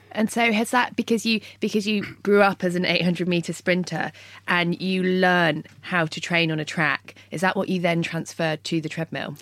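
A woman with a British accent, fairly low in pitch, at a moderate pace, in a very clean recording with a silent background. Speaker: podcast host and runner. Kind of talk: interview, upbeat podcast hosting. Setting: studio. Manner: bright, friendly, enthusiastic.

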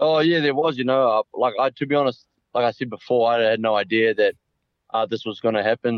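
Fairly quick and fairly even in intonation, the speaker talks with a New Zealand accent. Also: man. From New Zealand, Auckland. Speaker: rugby player. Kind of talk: interview. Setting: phone call.

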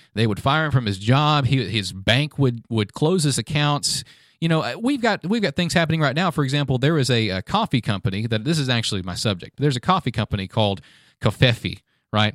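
A man with an American accent and a normal speaking voice talks at a fairly quick pace in a medium pitch. The recording is very clean with a silent background, and the sound is dry and close with no echo. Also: lively intonation. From US South. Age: 20s. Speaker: podcast co-host. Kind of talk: casual chat. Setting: studio.

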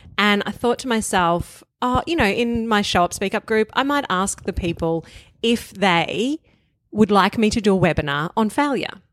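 A woman's medium-pitched voice in a strong Australian accent, moderate in pace and lively in intonation, dry and close with no echo, on a very clean recording with a silent background. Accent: broad Australian. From Australia, outer eastern suburbs of Melbourne. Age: 40s. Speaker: author and podcast guest. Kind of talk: casual chat.

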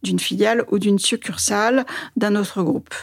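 A woman's fairly high voice with ordinary pitch variation and a moderate pace, an ordinary speaking voice. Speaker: newspaper editor-in-chief. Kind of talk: interview.

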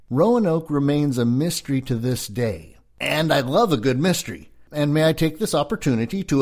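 In a very clean recording with a silent background, a man with an American accent talks at a moderate pace, his pitch fairly high. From California, US. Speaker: historian and actor. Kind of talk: scripted narration of a history lecture.

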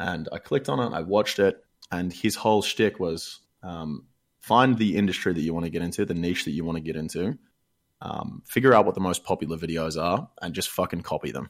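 A man with an Australian accent talks at a fairly quick pace. His pitch is very deep and low, with ordinary variation. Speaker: gaming caster and streamer. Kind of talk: casual chat. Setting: remote call.

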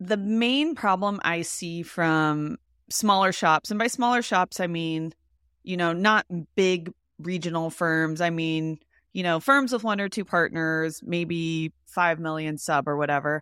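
A woman with a plain, everyday voice speaks at a fairly slow pace and fairly low pitch with ordinary pitch variation, in a very clean recording with a silent background and a dry, close sound with no echo. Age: 30s. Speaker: accountant and content creator. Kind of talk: casual interview.

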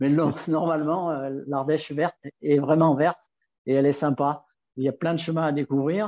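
A man with a fairly high pitch speaks at a moderate pace in a flat, monotone delivery, broken by long, frequent pauses. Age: 60s. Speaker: nordic walking guide. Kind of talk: casual interview.

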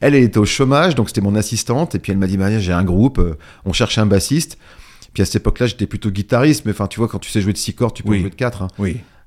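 A man at a very fast pace, fairly low in pitch, with ordinary pitch variation. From northern France, Picardy. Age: 50s. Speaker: DJ. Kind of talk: casual interview.

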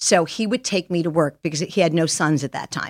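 On a very clean recording with a silent background and a dry, close sound with no echo, a woman with a New York accent speaks at a fairly low pitch with ordinary pitch variation. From Long Island, New York. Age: 60s. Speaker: Hollywood stylist. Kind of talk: interview conversation. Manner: animated.

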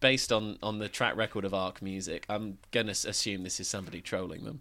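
An English accent with a bright, sharp tone at a fairly quick pace. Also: man, very clean recording, silent background. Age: 20s. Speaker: podcast co-host and local radio worker. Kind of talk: casual chat.

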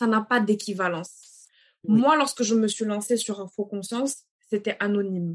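A woman talks in a normal speaking voice at a fairly slow pace. Her pitch is fairly high, with ordinary variation. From Senegal, Dakar. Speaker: children's author. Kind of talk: interview.

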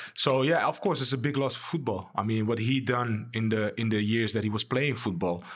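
With a Dutch accent, a man talks at a fairly quick pace with hardly any pauses, a medium pitch, and ordinary pitch variation. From Amsterdam, Netherlands. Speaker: former professional footballer. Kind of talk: casual interview.

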